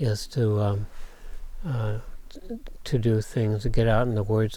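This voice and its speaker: Recorded very cleanly with a silent background, a man with an Upper Midwest accent speaks at a fairly low pitch with ordinary pitch variation. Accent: Upper Midwest American. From Minnesota North Shore. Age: 70s. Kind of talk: interview answer. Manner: casual, hesitant.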